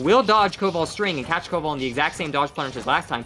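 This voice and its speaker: Over music in the background, a man talks at a very fast pace. His intonation is lively. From Germany. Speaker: esports commentator. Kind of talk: live commentary.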